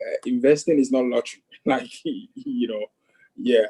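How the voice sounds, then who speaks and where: Speaking at a very slow pace with a strong African accent, a man sounds dry and close, with no echo. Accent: thick African. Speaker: investing student. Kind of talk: casual chat. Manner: halting, many fillers.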